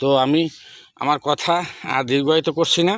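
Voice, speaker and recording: A man talks at a fairly high pitch with fairly even intonation. The sound is dry and close with no echo, on a very clean recording with a silent background. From Bangladesh, Barisal district. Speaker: fish farmer. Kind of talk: sales pitch. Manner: halting.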